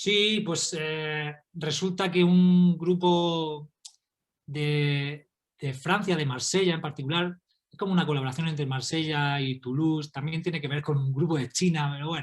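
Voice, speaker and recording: A man's fairly high-pitched voice with a Murcian accent, fairly even intonation, and big swings in loudness. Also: fairly slow pace. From Spain, Murcia. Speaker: astrophysicist and author. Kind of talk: interview.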